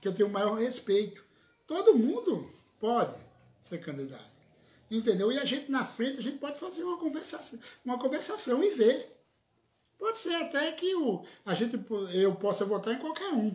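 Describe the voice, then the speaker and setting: Extremely high in pitch, a man speaks at a moderate pace with very wide pitch swings and long, frequent pauses. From Pernambuco, Brazil (Surubim); Pernambuco, Brazil. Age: 50s. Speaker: local politician, city councillor and lawyer; local politician, city councillor, lawyer. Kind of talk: political interview. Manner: animated. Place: office. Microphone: phone near.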